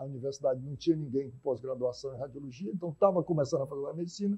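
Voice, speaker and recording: This man's pitch moves in an ordinary way. There is a somewhat breathy quality to his voice. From Teresina, Piauí, Brazil; Piauí, Brazil. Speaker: physician and healthcare executive; guest. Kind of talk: TV debate interview. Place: studio. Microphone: lapel.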